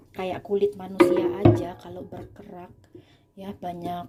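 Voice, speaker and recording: Over noticeable background noise, a woman with a fairly low pitch speaks fairly slowly in an animated tone, her pitch swinging very widely. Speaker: home cooking and cleaning vlogger. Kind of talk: casual tutorial while cleaning. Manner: animated, chatty.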